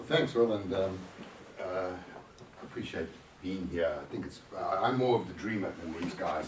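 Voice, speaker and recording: Very deep and low, a man's voice carries ordinary pitch variation. Noticeable background noise and audible room echo surround it. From southern Africa. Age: 50s. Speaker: marketing consultant. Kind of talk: panel talk.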